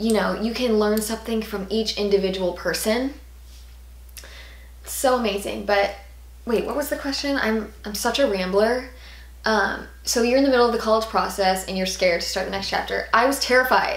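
Audible room echo surrounds a woman's fairly high voice. She speaks at a moderate pace with ordinary pitch variation. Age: 20s. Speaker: YouTuber. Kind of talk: casual Q&A vlog. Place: home room.

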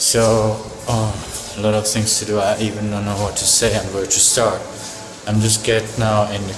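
Fairly slow speech with clear music in the background. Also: man. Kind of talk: casual vlog chat. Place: hall. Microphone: phone near.

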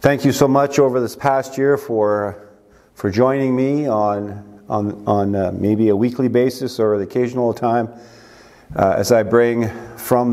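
Against a quiet background, a man speaks at a fairly slow pace. His intonation stays fairly even. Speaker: pastor. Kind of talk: sermon. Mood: warm, festive greeting. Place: church. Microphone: lapel.

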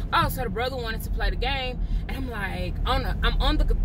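A woman at a moderate pace, the sound dry with no echo, noticeable background noise behind her. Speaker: vlogger. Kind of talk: casual vlog chat. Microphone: phone near.

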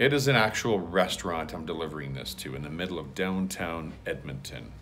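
The man's voice has a fairly bright tone and moves at a moderate pace.

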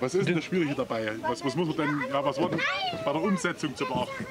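With clear background noise behind him, a man talks fast with lively intonation. His pitch sits fairly high.

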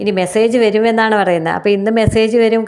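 This voice belongs to a woman. It is a plain, everyday voice. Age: 50s. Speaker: tarot reader. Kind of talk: tarot reading monologue.

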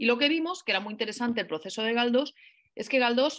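The voice belongs to a woman. The background is quiet. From Spain. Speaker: writer and professor; professor. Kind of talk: interview. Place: home room. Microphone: video call.

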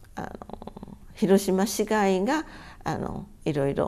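Over light background noise, a woman's dark, mellow tone carries lively intonation. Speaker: atomic bomb survivor. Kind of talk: testimony. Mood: calm, earnest recollection. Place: home room.

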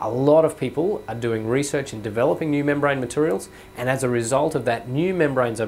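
A man talks at a very fast pace with ordinary pitch variation. There is light background noise. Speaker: university lecturer. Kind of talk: lecture. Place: studio. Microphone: lapel.

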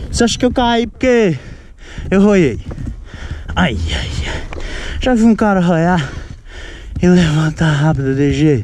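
Long, frequent pauses at a fairly slow pace, with light background noise and a dry sound free of echo. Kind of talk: casual vlog chat. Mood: joking, teasing after a fall. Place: motorbike. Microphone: helmet.

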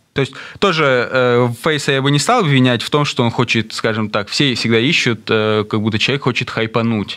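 This man speaks at a moderate pace and a medium pitch, with ordinary pitch variation and very even loudness. His tone is bright and sharp against a quiet background. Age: 30s. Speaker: rapper; radio guest. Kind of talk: interview. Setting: studio. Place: studio. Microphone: studio mic.

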